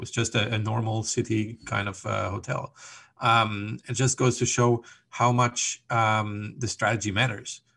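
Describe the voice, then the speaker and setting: Bright and sharp in tone, a man's fairly low voice carries vocal fry and stays monotone and flat at a moderate pace. The recording is very clean, with a silent background. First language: German. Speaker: hotel revenue consultant. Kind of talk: interview. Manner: hesitant, many ums and repeated words.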